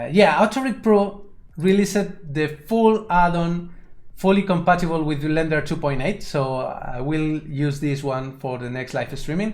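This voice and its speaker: In a Spanish accent, a man talks at a fairly slow pace and fairly high pitch with ordinary pitch variation, with audible room echo. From Spain. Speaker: 3D animation tutor and streamer. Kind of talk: live stream tutorial. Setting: live stream. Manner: halting, with repetitions.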